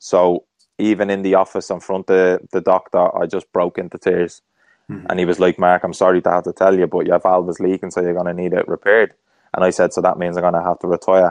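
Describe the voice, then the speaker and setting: A man's very deep, low voice with a Dublin accent, very fast and monotone with flat intonation, in a dry, close sound with no echo. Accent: Dublin Irish. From Ireland, Dublin. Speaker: former professional footballer. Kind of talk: interview conversation.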